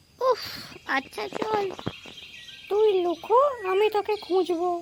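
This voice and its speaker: A cartoonish character voice, female-sounding, pitched extremely high. It moves at a fairly slow pace. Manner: impatient, bossy.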